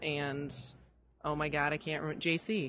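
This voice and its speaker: The voice belongs to a woman. She speaks with an American accent. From Chicago area, US Midwest. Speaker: design conference ambassador. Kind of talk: casual interview. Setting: at a design conference.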